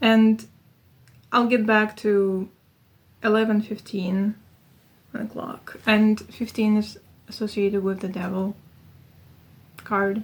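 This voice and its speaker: A woman with a fairly high voice speaks very slowly and somewhat breathily in a flat monotone, leaving long, frequent pauses. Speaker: tarot reader. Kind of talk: tarot reading monologue.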